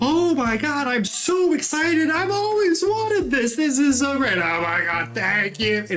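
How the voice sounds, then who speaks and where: Over clear background noise, a man does a put-on character voice at an extremely high pitch and a moderate pace. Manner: over-the-top, gushing, exaggeratedly excited.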